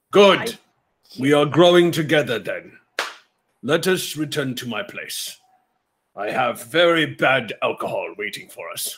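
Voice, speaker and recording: Using a put-on character voice, a man speaks at a fairly slow pace and a fairly high pitch, with big swings in loudness and long, frequent pauses. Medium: actual play. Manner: dry, sardonic, slow.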